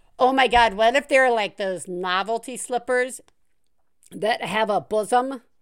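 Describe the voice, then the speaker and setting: A woman with a normal speaking voice talks at a fairly slow pace and a fairly high pitch. Her pitch variation is ordinary, and the recording is very clean with a silent background. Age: 40s. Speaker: parenting podcast host. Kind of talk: casual chat.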